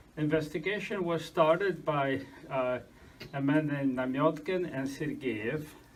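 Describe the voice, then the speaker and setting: Over noticeable background noise and audible room echo, a man with a fairly high pitch and ordinary pitch variation speaks at a fairly slow pace. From Argentina, Russian family, moved to US 1960. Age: 60s. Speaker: lecturer on historical investigation. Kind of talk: lecture. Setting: church hall with audience. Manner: halting, many fillers.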